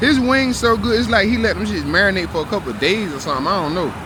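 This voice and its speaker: Amid noticeable background noise and audible room echo, a man talks at a very fast pace with very wide pitch swings. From US South. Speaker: vlogger. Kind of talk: casual food review vlog. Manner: relaxed, casual.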